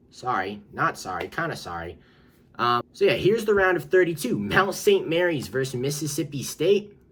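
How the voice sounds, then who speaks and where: A man with vocal fry speaks at a moderate pace and fairly high pitch, his pitch swinging very widely. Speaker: sports YouTuber. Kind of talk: casual commentary video. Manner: animated.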